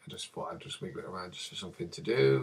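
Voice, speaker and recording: Talking at a very fast pace, a man speaks with vocal fry. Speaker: video editing tutorial maker. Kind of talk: tutorial. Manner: casual, rambling with fillers.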